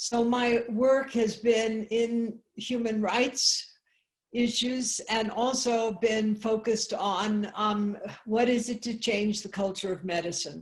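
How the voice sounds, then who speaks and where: A woman speaks very slowly in a somewhat breathy, fairly high voice. Her intonation stays fairly even. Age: 70s. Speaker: Zen abbot and medical anthropologist. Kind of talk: online talk to a group. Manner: halting, many fillers.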